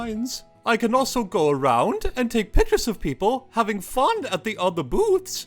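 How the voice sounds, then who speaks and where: A cartoonish character voice talks at a fairly high pitch and moderate pace. Faint music plays in the background. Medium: puppet. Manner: hesitant, fussy.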